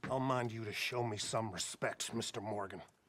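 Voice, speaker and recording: Growling in a put-on character voice, a man keeps a medium pitch, a moderate pace and fairly even intonation. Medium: machinima.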